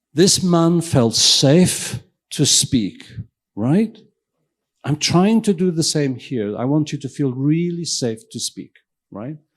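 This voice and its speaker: This man speaks with a Welsh accent at a very slow pace. His pitch is fairly high and his intonation lively. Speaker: invited keynote speaker, professor and physician. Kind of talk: lecture. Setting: stage with audience. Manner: interactive, questioning the audience.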